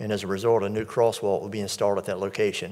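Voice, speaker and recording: A man with a fairly low pitch talks at a fairly quick pace in an ordinary speaking voice against a quiet background. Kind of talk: formal briefing to a board. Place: hall. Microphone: podium.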